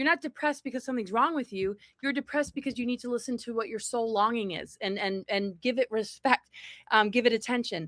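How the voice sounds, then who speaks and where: In a very clean recording with a silent background and a dry, close sound with no echo, a woman with a high pitch and a bright, sharp tone talks at a fairly quick pace with ordinary pitch variation. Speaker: spiritual speaker and author. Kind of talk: interview conversation. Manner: fast talking.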